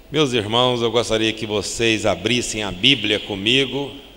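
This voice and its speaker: Amid noticeable background noise and audible room echo, a man speaks at a very slow pace with a medium pitch and fairly even intonation. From Brazil, Triângulo Mineiro (Minas Gerais). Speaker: pastor. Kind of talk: sermon. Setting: church.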